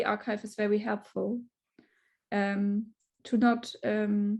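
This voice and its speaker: With a monotone, flat intonation, a woman speaks at a fairly high pitch in a somewhat breathy voice. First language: not English. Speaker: researcher. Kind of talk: panel discussion. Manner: halting.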